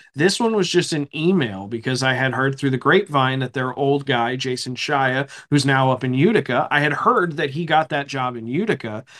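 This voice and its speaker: A man speaks in a normal speaking voice with an American accent, pitched fairly high. His pace is moderate, with ordinary pitch variation and hardly any pauses. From eastern Pennsylvania. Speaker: hockey play-by-play broadcaster. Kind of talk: interview, casual chat.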